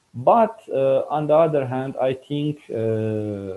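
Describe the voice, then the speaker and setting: A man at a very slow pace, with lively intonation. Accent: non-native. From Iran. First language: Farsi. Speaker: scientist. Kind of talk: interview. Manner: halting, many fillers.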